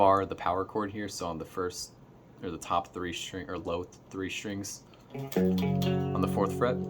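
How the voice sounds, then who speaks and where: Music plays in the background as a man speaks at a moderate pace. His voice is very deep and low, with fairly even intonation. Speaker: guitar teacher. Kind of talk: tutorial. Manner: halting, many fillers.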